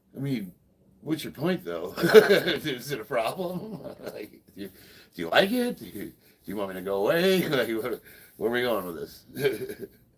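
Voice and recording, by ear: Big pitch swings and a slightly husky edge come through in this voice with an American accent. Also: man, medium pitch for a man, moderate pace.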